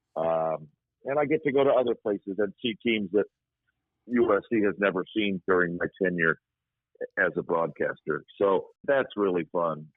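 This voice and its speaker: A man with an ordinary speaking voice talks at a moderate pace and fairly low pitch, with lively intonation and very even loudness. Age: 60s. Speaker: radio play-by-play sports broadcaster. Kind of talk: casual interview chat.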